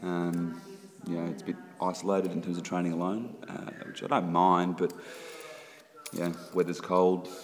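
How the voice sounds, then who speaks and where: A man with a very deep, low pitch speaks at a moderate pace over light background noise. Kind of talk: casual vlog chat. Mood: reflective, slightly frustrated. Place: gym. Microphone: phone near.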